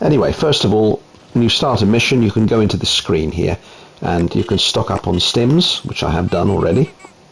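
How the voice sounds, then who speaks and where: Over noticeable background noise, a man speaks fairly quickly at a fairly low pitch, his loudness very even and his intonation lively. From Italy. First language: Italian. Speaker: gaming YouTuber. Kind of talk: game showcase commentary. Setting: home, wife present.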